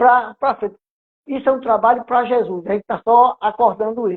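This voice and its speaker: At a moderate pace, a man talks in an extremely high pitch. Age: 70s. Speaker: spiritist center volunteer, retired worker. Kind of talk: casual interview chat. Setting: live stream. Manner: halting, many restarts.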